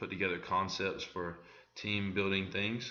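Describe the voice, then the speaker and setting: Audible room echo surrounds a man whose fairly low voice stays in a monotone, flat intonation. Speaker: student presenter. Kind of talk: tutorial. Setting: screen recording. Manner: hesitant, many fillers.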